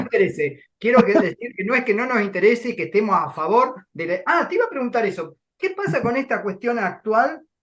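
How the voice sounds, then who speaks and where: A man with an extremely high voice speaks at a fairly quick pace with hardly any pauses. His pitch swings very widely. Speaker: university voice teacher. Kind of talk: talk host.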